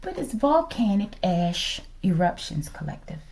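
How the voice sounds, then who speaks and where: A woman speaks in a dark, mellow tone at a fairly low pitch. Her voice is somewhat breathy. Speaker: tarot reader. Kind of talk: tarot reading livestream-style monologue. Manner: casual, conversational with filler words.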